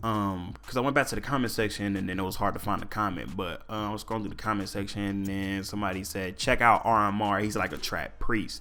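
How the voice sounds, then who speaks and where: A man talks at a very fast pace in a fairly low pitch with a bright, sharp tone. Room echo is audible. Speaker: solo podcast host. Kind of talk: casual solo podcast talk.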